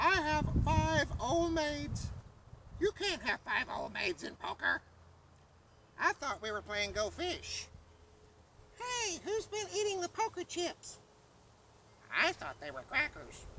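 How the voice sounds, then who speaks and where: A put-on character voice speaks in an extremely high pitch at a fairly slow pace. Long, frequent pauses break up the speech. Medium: read story.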